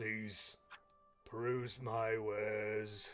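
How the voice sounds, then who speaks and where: A gravelly, put-on character voice from a man, medium in pitch, with monotone, flat intonation. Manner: polite, welcoming.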